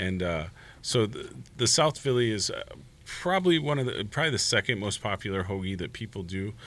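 In a normal speaking voice, a man with an American accent talks at a fairly quick pace, his fairly low pitch carrying lively intonation. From northwest Indiana. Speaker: restaurant co-owner. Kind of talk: casual chat.

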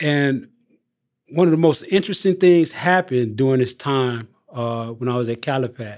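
Speaking with an American accent, a man has a normal speaking voice at medium pitch with lively intonation. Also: moderate pace. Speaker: incarcerated man seeking parole. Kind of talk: interview.

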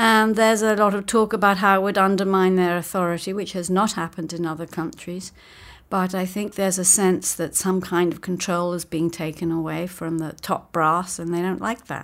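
Fairly quick in pace, a woman with an American accent speaks at a medium pitch with fairly even intonation. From Great Britain. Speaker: author, journalist and professor. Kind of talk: radio interview.

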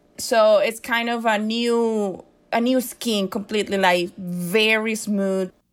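On a very clean recording with a silent background, a woman with a fairly high pitch speaks very slowly in a flat monotone. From Venezuela. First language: Spanish. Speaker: photojournalist, COVID survivor. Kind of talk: personal testimony interview.

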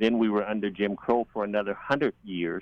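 A man's fairly low voice with an American accent and ordinary pitch variation, an ordinary speaking voice. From US South. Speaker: police officer. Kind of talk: radio roundtable discussion.

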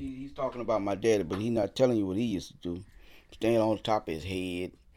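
In a New Orleans accent, a man with a fairly low pitch speaks at a fairly quick pace with lively intonation on a very clean recording with a silent background. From New Orleans, Louisiana. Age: 60s. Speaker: professional drummer. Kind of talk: interview conversation.

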